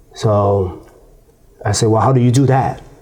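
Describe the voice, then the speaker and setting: Over noticeable background noise and audible room echo, a man with a Chinese accent talks at a fairly quick pace and a fairly low pitch. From China. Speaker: former prisoner, youth advocate. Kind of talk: interview. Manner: halting, many fillers and repeats.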